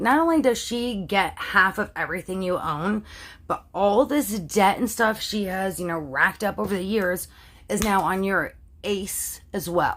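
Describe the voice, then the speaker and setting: A woman's raspy, put-on character voice, medium in pitch, with lively intonation at a moderate pace, in a very clean recording with a silent background. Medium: solo performance. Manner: casual, slangy, matter-of-fact.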